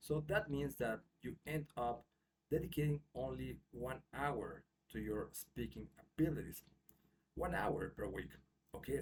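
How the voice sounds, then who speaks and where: A man with a Mexican accent talks at a fairly slow pace, leaving long, frequent pauses. His voice has vocal fry. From Mexico. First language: Spanish. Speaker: English teacher. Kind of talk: tutorial. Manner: casual with frequent fillers.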